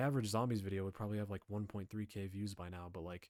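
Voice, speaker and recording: A fairly low male voice with fairly even intonation, dry and close with no echo, on a very clean recording with a silent background. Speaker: youtuber. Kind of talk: casual vlog commentary. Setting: webcam recording. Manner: monotone.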